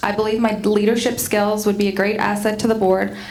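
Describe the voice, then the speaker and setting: Amid noticeable background noise and audible room echo, a woman talks very fast at a medium pitch with monotone, flat intonation. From Quebec (near Montreal). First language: French. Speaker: school board candidate. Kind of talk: candidate forum opening statement.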